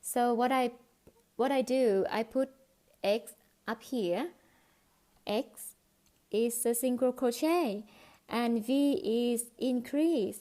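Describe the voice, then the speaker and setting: A woman speaks at a very slow pace in a high pitch with a dark, mellow tone, ordinary pitch variation, very even loudness and long, frequent pauses. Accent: non-native. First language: not English. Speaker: crochet teacher. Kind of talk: tutorial. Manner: halting.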